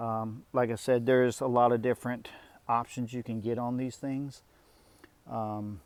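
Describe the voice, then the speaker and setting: Quiet and monotone, a man speaks at a moderate pace with a medium pitch and flat intonation. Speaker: youtuber reviewing his mini excavator. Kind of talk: casual walkaround video. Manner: quiet talker; hesitant with many fillers.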